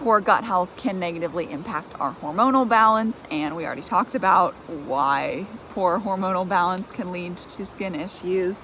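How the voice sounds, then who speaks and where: A woman at medium pitch speaks at a moderate pace with ordinary pitch variation and hardly any pauses. Noticeable background noise is present. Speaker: gut health nutrition coach. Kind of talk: tutorial. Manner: casual, filler-heavy.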